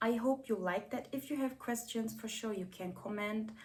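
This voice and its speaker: This woman speaks with a non-native accent at a fairly high pitch, her intonation lively. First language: not English. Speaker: vlogger. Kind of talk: casual vlog talk. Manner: hesitant, many fillers.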